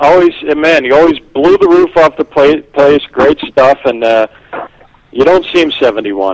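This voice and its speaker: A man with a plain, everyday voice speaks at a moderate pace, his fairly high pitch varying in an ordinary way. His loudness stays very even, and the sound is dry and close with no echo. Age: 50s. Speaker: stand-up comedian. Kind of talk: casual chat.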